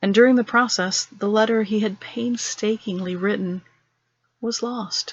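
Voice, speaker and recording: This woman has an ordinary speaking voice, fairly high pitch and fairly even intonation, speaking at a moderate pace. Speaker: storyteller. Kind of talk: horror story narration.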